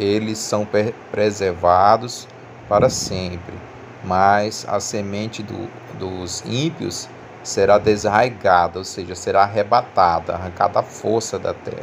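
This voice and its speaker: With fairly even intonation and a fairly low pitch, a man speaks at a very slow pace against noticeable background noise. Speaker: religious youtuber. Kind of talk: bible teaching. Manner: halting.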